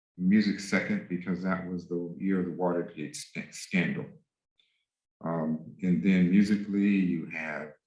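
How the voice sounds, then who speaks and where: A man's very deep, low voice with ordinary pitch variation, at a fairly slow pace, amid audible room echo. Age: 60s. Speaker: music professor. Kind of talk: lecture. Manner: halting.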